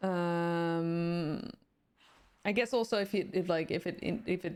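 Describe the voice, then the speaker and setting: Speaking very slowly with a Dutch accent, a woman uses a fairly low pitch and ordinary pitch variation on a very clean recording with a silent background. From Netherlands. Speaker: streamer. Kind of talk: casual chat. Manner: halting, many fillers.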